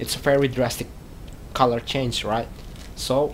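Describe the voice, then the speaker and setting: A man with a non-native accent, medium pitch and a fairly slow pace. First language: not English. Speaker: hobbyist vlogger. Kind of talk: casual tutorial vlog. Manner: halting, many fillers and repeats.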